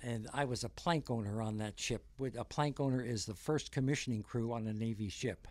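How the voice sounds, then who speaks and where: A man with an American accent and a normal speaking voice talks at a fairly quick pace with hardly any pauses, at medium pitch with ordinary pitch variation, on a very clean recording with a silent background. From rural New Jersey. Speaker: navy veteran and museum volunteer. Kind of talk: interview.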